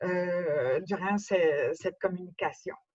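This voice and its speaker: Someone talks at a very slow pace with a Quebec accent. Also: woman. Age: 70s. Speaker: speaker with cochlear implant. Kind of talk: testimony. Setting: conference talk.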